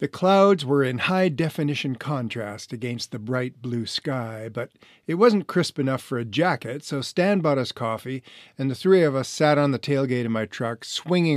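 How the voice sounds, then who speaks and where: A man's medium-pitched, unremarkable speaking voice with ordinary pitch variation, dry and close with no echo on a very clean recording with a silent background. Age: 60s. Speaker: author and renovation contractor, former actor. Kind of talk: reading aloud from own memoir.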